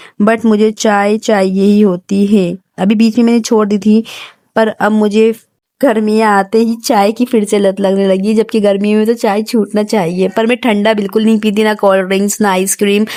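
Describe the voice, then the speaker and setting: The voice is soft-spoken with very even loudness. Its intonation is monotone and flat. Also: woman, fairly high pitch for a woman. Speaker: home vlogger. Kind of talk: vlog voice-over. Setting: indoors, separate room at home. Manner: soft, quiet; slow, hesitant.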